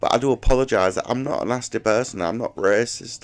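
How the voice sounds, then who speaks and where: Music plays in the background as a man with an English accent talks at a fairly quick pace, medium in pitch with ordinary pitch variation. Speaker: YouTuber. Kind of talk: casual monologue. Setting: at home alone. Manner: rambling, halting.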